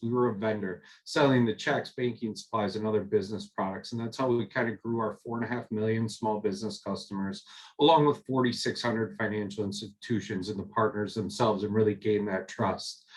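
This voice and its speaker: Hardly pausing, a man with a Minnesotan accent speaks at a fairly quick pace and medium pitch with fairly even intonation. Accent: Minnesota. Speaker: corporate recruiter. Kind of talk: panel talk. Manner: many fillers.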